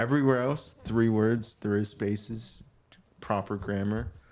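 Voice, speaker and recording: This man's voice sits fairly low in pitch. His intonation is fairly even. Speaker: podcast co-host. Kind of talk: casual chat. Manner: filler-heavy, halting.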